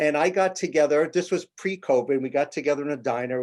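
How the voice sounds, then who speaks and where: With a New York accent, a man talks at a moderate pace with ordinary pitch variation. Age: 60s. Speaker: television stage manager. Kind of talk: interview.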